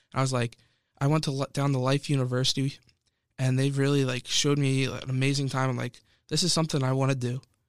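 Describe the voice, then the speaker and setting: In an American accent, a man at medium pitch speaks very fast in a flat monotone, on a very clean recording with a silent background. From Pennsylvania, suburban Philadelphia. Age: 20s. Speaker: college student podcaster. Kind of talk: solo podcast monologue.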